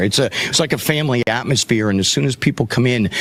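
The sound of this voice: Against noticeable background noise, a man talks at a very fast pace with lively intonation.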